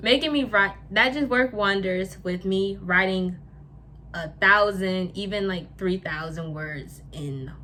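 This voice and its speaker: Noticeable background noise and audible room echo surround a woman's voice. She talks at a medium pitch and a fairly slow pace. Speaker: lifestyle YouTuber. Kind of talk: casual vlog talk. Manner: halting, with stumbles and repeats.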